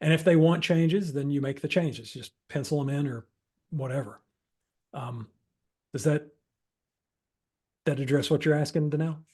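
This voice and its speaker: Long, frequent pauses break up a man's somewhat breathy speech, which has a dark, mellow tone and fairly even intonation. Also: fairly high pitch for a man, moderate pace. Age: 50s. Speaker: improv workshop instructor. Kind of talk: workshop Q&A. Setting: video call. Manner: conversational, with fillers and self-repetition.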